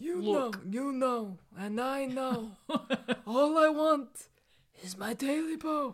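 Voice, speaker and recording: A put-on character voice, high-pitched and sing-song. It moves at a very slow pace with long, frequent pauses. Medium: solo performance. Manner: creepy, sing-song.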